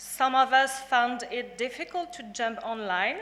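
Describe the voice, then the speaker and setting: The speech, with a French accent, is very slow, and room echo can be heard. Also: woman. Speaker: graduating student, valedictorian. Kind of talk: valedictory speech. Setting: graduation ceremony hall with audience. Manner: formal.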